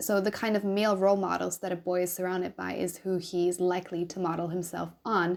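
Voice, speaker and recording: A woman's medium-pitched voice with a German accent, at a moderate pace with ordinary pitch variation. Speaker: YouTuber, anti-abuse commentator. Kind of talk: reaction commentary reading game text. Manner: casual, conversational.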